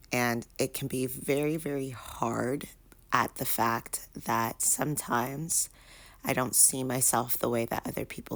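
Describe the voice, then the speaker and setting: The speaker is soft-spoken, with vocal fry and fairly even intonation. The pace is fairly slow. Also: woman. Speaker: vlogger. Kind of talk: casual vlog monologue. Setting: in bedroom at home. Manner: soft-spoken, talking low; hesitant with many fillers.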